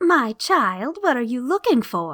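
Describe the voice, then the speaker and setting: A woman's put-on character voice, high in pitch with very wide pitch swings, at a fairly slow pace. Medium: read story.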